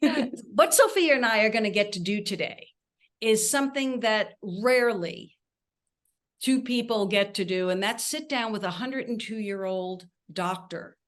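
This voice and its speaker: At a moderate pace, a woman speaks in an ordinary speaking voice with fairly high pitch and ordinary pitch variation. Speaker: podcast host. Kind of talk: interview question.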